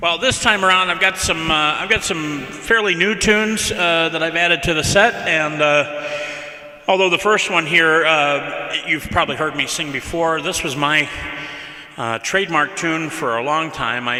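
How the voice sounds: At a moderate pace, a man with a fairly high voice speaks with ordinary pitch variation amid noticeable background noise.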